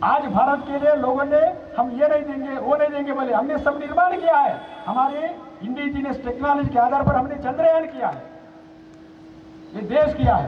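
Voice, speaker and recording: Through audible room echo and noticeable background noise, a man speaks at an extremely high pitch with fairly even intonation. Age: 70s. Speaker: senior organization leader. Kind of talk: public speech. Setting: outdoor rally ground with audience.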